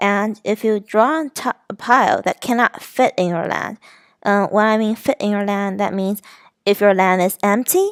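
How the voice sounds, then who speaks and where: Recorded with a dry, close sound and no echo, a woman speaks at a medium pitch with fairly even intonation. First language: not English. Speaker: student presenting a game design. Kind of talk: class presentation. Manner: halting.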